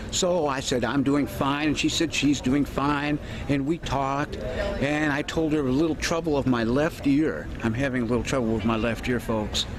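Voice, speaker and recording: Against noticeable background noise, a man talks with hardly any pauses, very even loudness and fairly even intonation. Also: fairly high pitch for a man, moderate pace. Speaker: vlogger. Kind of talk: casual vlog talk. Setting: outdoors. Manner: halting.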